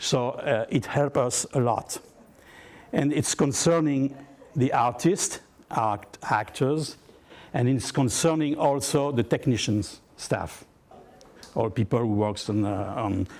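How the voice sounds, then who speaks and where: A man with a French accent at a medium pitch, very slow pace, long, frequent pauses, and ordinary pitch variation. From southern France. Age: 60s. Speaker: actor. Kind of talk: workshop talk. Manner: halting.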